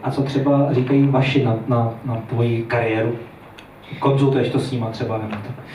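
A man speaks at a fairly quick pace and a medium pitch, in a flat monotone. Noticeable background noise and audible room echo fill the recording. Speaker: talk show host. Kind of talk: talk show interview. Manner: fast.

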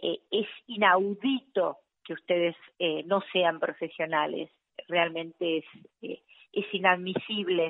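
A woman talks at a very slow pace and medium pitch. Her intonation stays fairly even. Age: 50s. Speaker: health worker. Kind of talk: phone interview.

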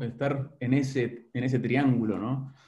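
Audible room echo surrounds a man at medium pitch. His voice is somewhat breathy with a dark, mellow tone. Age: 50s. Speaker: business consultant and executive coach. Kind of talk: interview.

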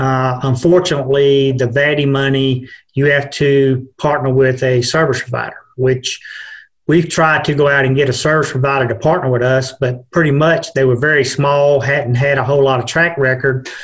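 A man's fairly high, somewhat breathy voice in an American accent, monotone and flat, with very even loudness. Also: moderate pace. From Georgia, US. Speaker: broadband program manager. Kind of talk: casual chat.

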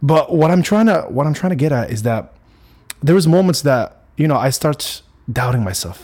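Somewhat breathy and animated, a man talks with lively intonation and long, frequent pauses. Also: fairly high pitch for a man. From Morocco. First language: Arabic. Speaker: fitness content creator. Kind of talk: casual monologue. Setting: solo podcast recording.

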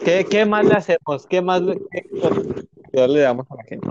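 Pitched high for a man, his speech shows ordinary variation in pitch. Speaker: podcast co-host. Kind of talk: casual chat. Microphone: sounds distorted, muffled.

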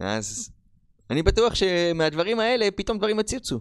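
The speaker is a man with a high pitch. His recording is very clean, with a silent background. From Israel, Rishon LeZion. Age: 30s. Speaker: podcast host. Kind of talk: motivational monologue. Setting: on camera.

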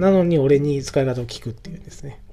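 A man with a fairly high voice and ordinary pitch variation rushes along at a very fast pace while music plays in the background. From Japan, northern Oita (Yabakei). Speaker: podcaster. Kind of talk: casual solo monologue. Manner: halting, many fillers.

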